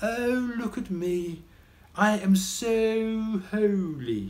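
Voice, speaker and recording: A put-on character voice at a fairly high pitch and a very slow pace. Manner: mockingly holy, self-important.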